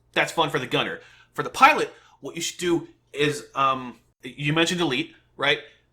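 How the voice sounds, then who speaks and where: Shouting loudly at a fairly quick pace, a man with a fairly high pitch has an animated tone that is bright and sharp. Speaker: gaming youtuber reacting to a developer stream. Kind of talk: reaction commentary. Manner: loud, yelling; animated, stammering repeats.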